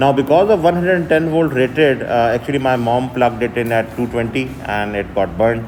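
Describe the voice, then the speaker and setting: A man with a Pakistani accent speaks at a fairly quick pace in a medium pitch, with ordinary pitch variation, audible room echo and noticeable background noise. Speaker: university lecturer. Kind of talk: lecture. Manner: halting, many fillers.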